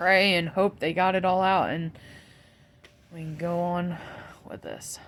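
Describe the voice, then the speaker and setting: A woman speaks with monotone, flat intonation. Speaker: vlogger sharing cancer update. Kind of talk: casual personal update vlog. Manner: soft-spoken; rambling, jumping between topics with fillers.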